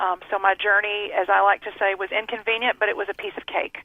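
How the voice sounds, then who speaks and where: A woman with a slight Kentucky accent speaks at a medium pitch in a monotone, flat intonation. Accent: faint Kentucky. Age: young. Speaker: breast cancer survivor. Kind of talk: interview.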